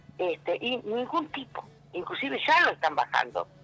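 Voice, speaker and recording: Over music in the background, a man projects a raised voice with very wide pitch swings. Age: 60s. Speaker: political candidate and labor activist. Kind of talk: interview. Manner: halting, with many fillers.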